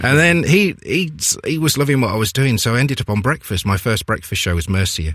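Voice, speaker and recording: Heard on a very clean recording over a silent background, a man with an East Midlands accent talks at a very fast pace with lively intonation. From Leicester, England. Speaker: radio presenter. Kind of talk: casual chat.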